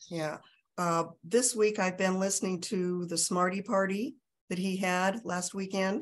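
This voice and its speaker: Her voice sits at a medium pitch as the woman speaks at a fairly slow pace with fairly even intonation. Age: 60s. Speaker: interviewee sharing healing testimony. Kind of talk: testimony. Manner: halting.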